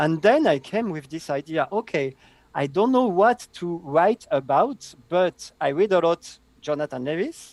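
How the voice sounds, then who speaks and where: A high-pitched man with a French accent, lively intonation and a fairly slow pace, in a dry, close sound with no echo. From southern France. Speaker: database consultant. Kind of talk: interview.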